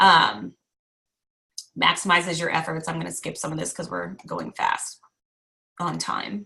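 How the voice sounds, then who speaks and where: With long, frequent pauses, a woman talks at a fairly slow pace. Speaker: direct sales team leader. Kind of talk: online training call.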